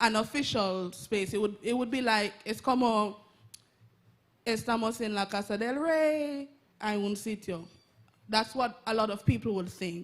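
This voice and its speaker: A woman's fairly high voice comes with long, frequent pauses. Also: ordinary pitch variation, fairly slow pace. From Jamaica. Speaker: audience member asking a question. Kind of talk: audience question at a public talk.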